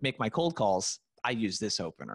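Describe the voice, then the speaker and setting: At a fairly quick pace, a man speaks at medium pitch in a normal speaking voice. The sound is dry and close with no echo, on a very clean recording with a silent background. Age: 30s. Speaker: sales prospecting coach. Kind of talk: casual interview.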